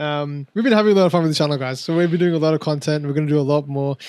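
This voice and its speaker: At a very fast pace, a man with an Australian accent speaks at a fairly high pitch. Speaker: wrestling podcast host. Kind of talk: casual chat. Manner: animated.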